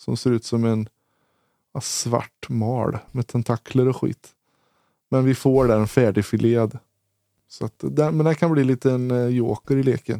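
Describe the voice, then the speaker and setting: The speech is fairly slow, with long, frequent pauses, a dark, mellow tone and fairly even intonation, all recorded dry and close with no echo. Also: man, medium pitch for a man. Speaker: disc golf podcast co-host. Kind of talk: casual chat.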